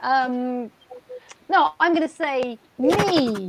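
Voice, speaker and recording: A woman is speaking. Noticeable background noise can be heard behind her. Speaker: comic writer and artist. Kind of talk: tabletop role-play. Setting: video call. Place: home room. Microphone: video call.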